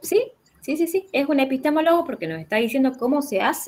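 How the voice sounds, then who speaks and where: Here a woman is speaking. Her pace is fairly quick. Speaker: philosophy teacher. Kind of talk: online class consultation. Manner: fast; halting.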